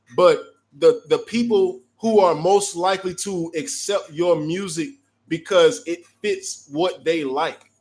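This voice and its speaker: Loud and very slow, a man speaks at a high pitch. His pitch varies in an ordinary way. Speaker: music producer and live-chat host. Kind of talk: live stream Q&A chat. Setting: online live stream. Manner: casual, filler-heavy.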